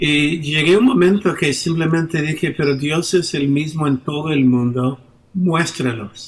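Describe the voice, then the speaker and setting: This man has an English accent and a fairly high pitch, with ordinary pitch variation. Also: fairly slow pace. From United States. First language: English (speaking Spanish). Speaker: pastor. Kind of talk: interview. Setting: video call.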